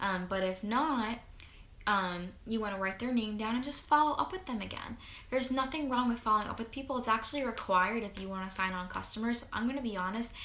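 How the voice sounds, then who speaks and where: At a very fast pace, a woman talks at a fairly high pitch with ordinary pitch variation, with audible room echo and noticeable background noise. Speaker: network marketing distributor. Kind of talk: tutorial. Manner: animated.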